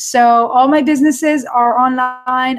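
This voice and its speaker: In an Israeli accent, a woman speaks at a high pitch. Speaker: online entrepreneur and course coach. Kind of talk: live webinar. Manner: animated.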